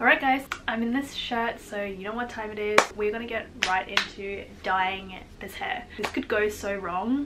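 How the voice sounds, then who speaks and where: A woman's fairly high voice with big swings in loudness, ordinary pitch variation and noticeable background noise. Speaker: beauty vlogger. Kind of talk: casual vlog tutorial; recorded voiceover explanation. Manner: casual, chatty; fast.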